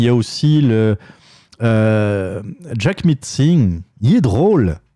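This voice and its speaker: A man with a Quebec accent speaks in a dark, mellow tone, recorded with a dry, close sound and no echo. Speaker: opinion podcast host. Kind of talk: solo opinion monologue. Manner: halting, many fillers and repetitions.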